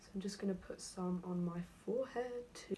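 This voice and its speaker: With a British accent, a woman speaks at a medium pitch over noticeable background noise. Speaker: beauty vlogger. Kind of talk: makeup tutorial. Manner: fast.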